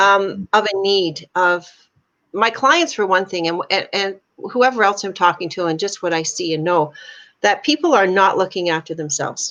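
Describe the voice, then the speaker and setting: A woman talks in a normal speaking voice. Her pace is moderate, with ordinary pitch variation. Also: medium pitch for a woman. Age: 60s. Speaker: life coach and artist. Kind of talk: casual chat. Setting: live video stream.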